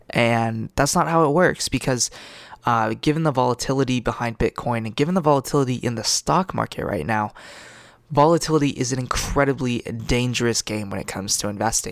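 An unremarkable speaking voice moves at a fairly quick pace with ordinary pitch variation, recorded with a dry, close sound and no echo. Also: man, medium pitch for a man. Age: 20s. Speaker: podcast host. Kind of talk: solo podcast monologue. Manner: casual, filler-heavy.

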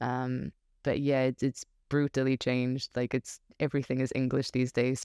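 A woman's very deep, low pitch and dark, mellow tone, monotone and flat at a moderate pace, in a dry, close sound with no echo. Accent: Portuguese. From Portugal. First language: Portuguese. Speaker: expat living in the UK. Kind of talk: casual interview chat. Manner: laughs often.

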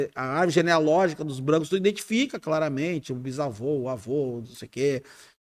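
This man has a plain, everyday voice, fairly high in pitch with ordinary pitch variation. The recording is very clean, with a silent background. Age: 50s. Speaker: police chief, former army officer. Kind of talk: casual interview.

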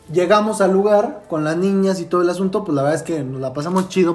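Over noticeable background noise, a man talks at a fairly quick pace. His voice is high, with ordinary pitch variation. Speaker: podcast host, university student. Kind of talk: casual chat.

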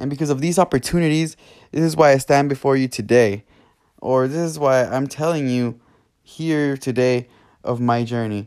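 Moderate in pace, a man speaks with an American accent in an unremarkable speaking voice, at medium pitch with ordinary pitch variation. The recording is very clean, with a silent background. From California. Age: 20s. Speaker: podcast host. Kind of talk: personal monologue.

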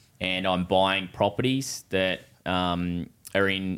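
A man with a very deep, low pitch and fairly even intonation, in an Australian accent. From Australia, New South Wales (Newcastle area). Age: 20s. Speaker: builder and property investor. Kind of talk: casual chat.

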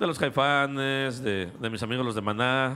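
A man with a medium pitch talks at a moderate pace in an animated tone with ordinary pitch variation. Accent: Mexican. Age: 40s. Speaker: podcast co-host. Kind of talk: casual chat.

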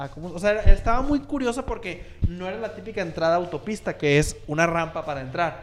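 A man's high-pitched voice at a fairly quick pace, with lively intonation and big swings in loudness. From Monterrey, Mexico. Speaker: podcast co-host and editor. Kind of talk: casual chat.

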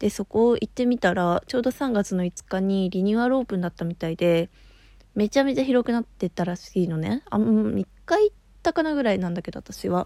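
In a very clean recording with a silent background and a dry, close sound with no echo, a woman speaks fairly quickly at medium pitch with a dark, mellow tone. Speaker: solo podcaster. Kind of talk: casual monologue storytelling. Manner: casual, chatty.

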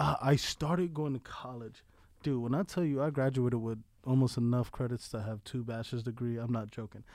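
A man speaks in a plain, everyday voice with an American accent, at medium pitch and a fairly quick pace, with ordinary pitch variation on a very clean recording with a silent background. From New York, South Bronx. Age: 30s. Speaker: army veteran. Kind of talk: casual interview.

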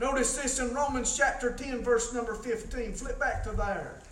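A man speaks over noticeable background noise. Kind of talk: sermon. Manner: informal, conversational preaching, halting with many fillers; earnest, pleading, exhorting the congregation.

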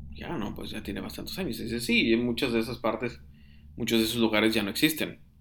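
A man at a medium pitch talks at a very fast pace, his loudness swinging widely and his intonation lively. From northern Mexico (Piedras Negras, Coahuila). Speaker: horror story podcaster. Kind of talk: storytelling. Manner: halting, with frequent repetitions.

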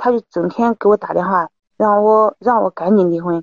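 The voice of a woman, with pitch varying in an ordinary way. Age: 30s. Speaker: caller seeking advice on husband's affair. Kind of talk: call-in advice conversation.

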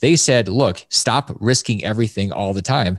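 A man with an American accent speaks in an ordinary speaking voice at a fairly low pitch, a moderate pace, and with ordinary pitch variation. The sound is dry and close, with no echo, over a quiet background. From Alaska. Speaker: personal finance author. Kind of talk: casual interview chat.

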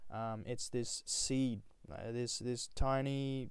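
A man with an Australian accent, medium pitch, and a very slow pace. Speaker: podcaster. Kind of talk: solo monologue. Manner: halting, many fillers; casual.

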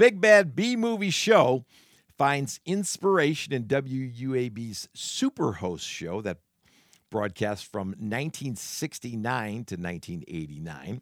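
A man's animated voice at a fairly slow pace, with very wide pitch swings and big swings in loudness, on a very clean recording with a silent background and a dry, close sound with no echo. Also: medium pitch for a man. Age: 50s. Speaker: podcast host. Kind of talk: casual solo monologue.

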